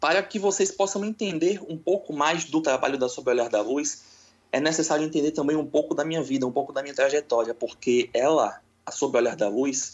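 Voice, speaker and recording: Here is a man with an unremarkable speaking voice, pitched fairly high. His pace is fairly quick and his pitch variation is ordinary. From Brazil, Salvador, Bahia. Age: 20s. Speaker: spiritualist. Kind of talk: interview.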